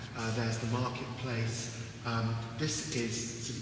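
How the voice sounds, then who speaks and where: A man is speaking. There is audible room echo and noticeable background noise. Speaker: professor. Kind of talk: lecture. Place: hall.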